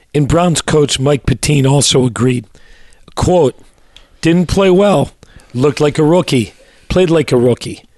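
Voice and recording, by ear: This man speaks at a fairly slow pace with long, frequent pauses, his pitch fairly high with ordinary variation. His tone is slightly mellow, and the sound is dry and close with no echo.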